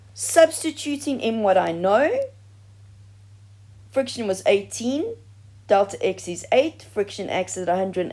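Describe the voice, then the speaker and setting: The tone is dark and mellow, the pace moderate, and the pitch swings very widely. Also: woman. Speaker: science teacher. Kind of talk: tutorial.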